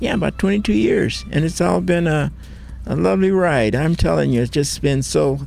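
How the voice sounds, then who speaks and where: A man with an American accent at a moderate pace, very even in loudness, with music in the background. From Ventura County, California. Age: old. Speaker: musician, writer, and community historian. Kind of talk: interview answer.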